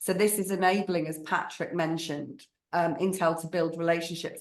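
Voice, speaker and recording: At a moderate pace, a woman with a northern English accent speaks in a fairly low pitch with monotone, flat intonation. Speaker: marketing agency strategist. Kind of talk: webinar panel discussion.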